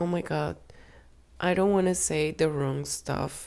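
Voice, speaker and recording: A woman with a Spanish accent at a very slow pace. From Colombia. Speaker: fashion designer and vlogger. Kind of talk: casual vlog talk. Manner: halting.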